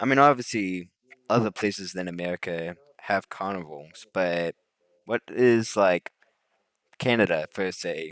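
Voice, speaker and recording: Recorded very cleanly over a silent background, a man speaks with ordinary pitch variation in a dry, close sound with no echo. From Indiana, US. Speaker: podcast host. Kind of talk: casual chat.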